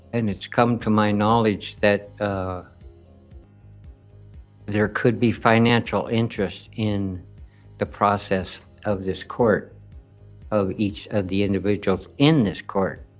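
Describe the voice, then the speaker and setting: With music playing in the background, a man with a fairly low voice talks very slowly in a fairly even tone, leaving long, frequent pauses. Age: old. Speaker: sovereign citizen defendant. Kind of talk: courtroom statement.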